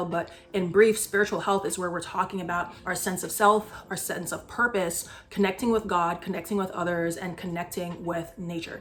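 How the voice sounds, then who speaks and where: Over background music, a woman with a medium pitch talks at a moderate pace in an upbeat tone. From Barbados. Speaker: psychiatry resident. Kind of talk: casual talk to camera.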